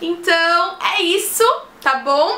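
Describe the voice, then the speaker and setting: A woman speaks in a raised, projected voice at an extremely high pitch. Room echo is audible. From Brazil. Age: young. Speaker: vlogger. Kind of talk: casual vlog talk.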